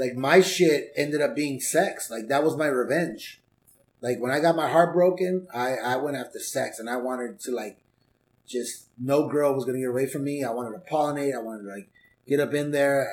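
A man with an American accent speaks at a fairly quick pace in a normal speaking voice, his pitch fairly high with ordinary variation. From Southeast Los Angeles, California. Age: 40s. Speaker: stand-up comedian and life coach. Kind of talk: casual chat. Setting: home garage.

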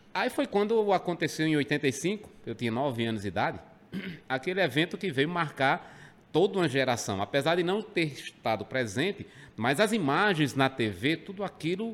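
A man speaks at a moderate pace with vocal fry, his pitch swinging very widely. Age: 40s. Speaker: rock radio presenter. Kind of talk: casual chat. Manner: halting, repeats words.

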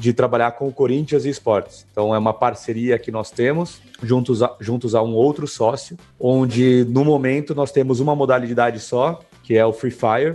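With fairly even intonation, a man speaks in a medium pitch and a dark, mellow tone. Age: 30s. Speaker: gaming company founder. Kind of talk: casual interview chat.

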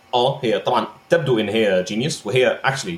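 Noticeable background noise accompanies a man whose pitch swings very widely. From Egypt. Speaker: game developer. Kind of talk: casual chat.

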